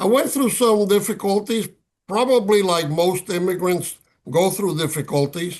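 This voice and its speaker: A man speaks in a Spanish accent with a high pitch and ordinary pitch variation. His loudness stays very even at a moderate pace. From Cuba. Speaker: retired ambassador, author. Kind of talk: interview. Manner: halting, with fillers.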